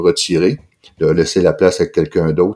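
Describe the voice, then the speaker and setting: The man's voice is very deep and low, with a dark, mellow tone. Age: 60s. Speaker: anesthesiologist and novelist. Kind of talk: interview conversation. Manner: halting, many repetitions and fillers.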